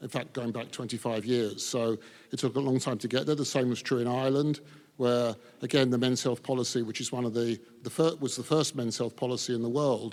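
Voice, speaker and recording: This man speaks with an English accent at a medium pitch. His pace is fairly quick. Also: fairly even intonation. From England. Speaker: men's health advocate. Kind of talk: panel discussion.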